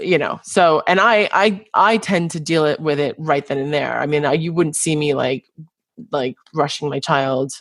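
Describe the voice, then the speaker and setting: A woman with an American accent speaks at a very deep, low pitch, with ordinary pitch variation. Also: moderate pace. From New York, US. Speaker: podcast host, chiropractor. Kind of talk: casual interview chat. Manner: halting, many repetitions and fillers.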